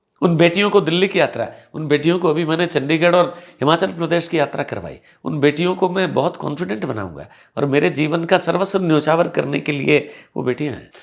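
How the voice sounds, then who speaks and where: A man talks at a moderate pace with a fairly high pitch and ordinary pitch variation. Vocal fry runs through his voice. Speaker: English teacher and event anchor. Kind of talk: interview.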